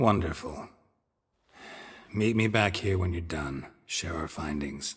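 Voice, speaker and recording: Putting on a character voice, a man speaks fairly slowly at a very deep, low pitch. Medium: video game. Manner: terse, dry, low-key.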